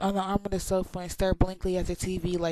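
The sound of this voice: What you hear is an unforced reading voice.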